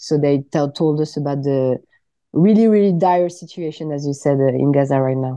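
A woman with a French accent speaks at a moderate pace in a very deep, low pitch with ordinary pitch variation, the sound dry with no echo and the background quiet. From France. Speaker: politician; politician guest. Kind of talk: radio interview. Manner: halting. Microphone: video call.

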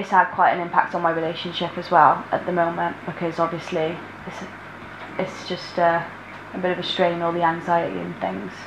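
Through noticeable background noise, a woman talks at a fairly quick pace in a fairly low pitch with monotone, flat intonation. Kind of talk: interview answer. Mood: worried, subdued. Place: home room.

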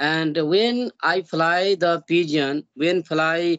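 Speaking at a very slow pace with an Indian accent, a man with a high pitch and ordinary pitch variation comes through dry and echo-free against a quiet background. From India, Bihar. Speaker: YouTuber learning English. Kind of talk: casual English practice conversation. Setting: video call. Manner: halting. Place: home room. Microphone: video call.

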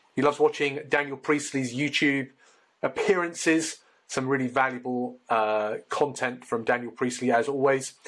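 A plain, everyday voice carries fairly even intonation. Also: man, fairly high pitch for a man, moderate pace. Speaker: podcast host. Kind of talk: interview. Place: home room.

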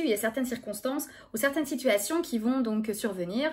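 Her voice high, a woman speaks at a moderate pace with ordinary pitch variation. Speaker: speech therapist. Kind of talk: educational talk to camera. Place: home room. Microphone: phone near.

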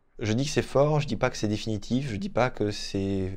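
A man with a dark, mellow tone talks at a moderate pace and medium pitch. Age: 30s. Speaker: volunteer, photographer. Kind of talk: testimony. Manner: halting, with repetitions. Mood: calm, earnest.

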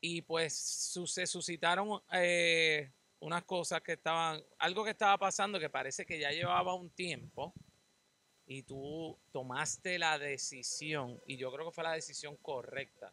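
With a Puerto Rican accent, a man talks at a fairly slow pace in a high pitch with ordinary pitch variation. His tone is bright and sharp, and the sound is dry with no echo. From Puerto Rico. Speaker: podcast host. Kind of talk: casual interview. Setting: outdoors. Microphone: handheld.

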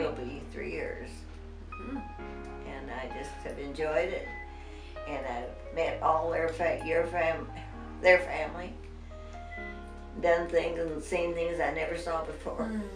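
Clear music plays behind a woman with an American accent who speaks at a fairly slow pace with long, frequent pauses. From Nebraska. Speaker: interviewee. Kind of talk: interview answer. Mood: emotional, reminiscing. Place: home room.

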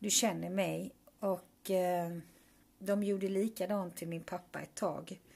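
A woman speaks very slowly in a somewhat breathy, flat monotone, leaving long, frequent pauses. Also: medium pitch for a woman. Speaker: vlogger, mother. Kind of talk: personal video message.

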